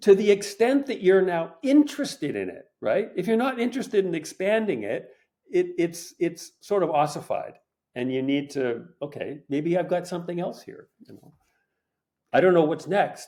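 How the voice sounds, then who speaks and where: A man with a Canadian accent speaks at a high pitch. His pitch swings very widely and his loudness shifts a great deal. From Canada, Montreal. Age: 70s. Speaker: painter and art teacher. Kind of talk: casual chat. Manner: halting.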